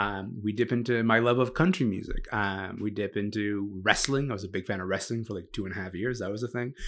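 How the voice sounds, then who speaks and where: Delivered at a fairly quick pace with hardly any pauses and fairly even intonation, the speech carries a Canadian accent on a very clean recording with a silent background. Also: man. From Sudan. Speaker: culture writer and podcast host. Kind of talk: casual chat.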